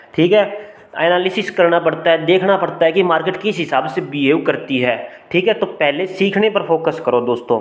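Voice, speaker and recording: Amid noticeable background noise, a man with a high pitch speaks at very even loudness. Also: ordinary pitch variation. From rural India. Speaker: stock market analyst YouTuber. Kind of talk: tutorial.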